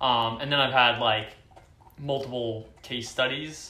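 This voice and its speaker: In an American accent, a man talks at a moderate pace with a bright, sharp tone and fairly even intonation, with audible room echo. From US West Coast, Oakland, California. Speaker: startup employee. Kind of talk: casual chat. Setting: apartment. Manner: hesitant, many fillers.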